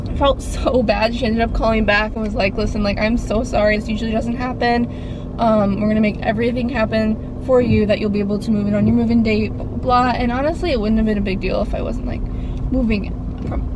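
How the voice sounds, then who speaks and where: A woman talks at a very fast pace. The sound is dry with no echo, though background noise is noticeable. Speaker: vlogger driving. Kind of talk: casual vlog chat. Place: car. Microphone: phone near.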